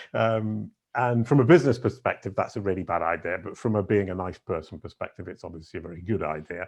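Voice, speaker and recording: Here a man talks at a very fast pace. His voice sits very deep and low. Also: ordinary pitch variation, hardly any pauses, big swings in loudness, quiet background. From northern England, Yorkshire. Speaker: SEO consultant. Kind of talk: podcast interview. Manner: halting, many fillers.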